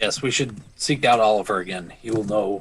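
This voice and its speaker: A man puts on a raspy character voice with a fairly low pitch. He keeps a moderate pace and fairly even intonation. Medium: actual play. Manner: formal, earnest.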